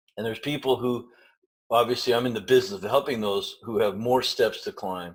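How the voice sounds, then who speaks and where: A man with a medium-pitched voice speaks at a fairly quick pace, his intonation fairly even. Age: 60s. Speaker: nutrition practitioner. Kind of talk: interview. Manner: hesitant fillers.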